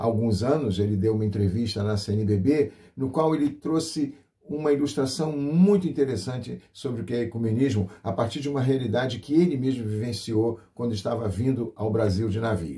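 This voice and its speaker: The tone is dark and mellow and somewhat breathy. The pace is moderate, with ordinary pitch variation. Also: man, medium pitch for a man. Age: 60s. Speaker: pastor and radio host. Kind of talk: radio program presentation. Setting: radio broadcast.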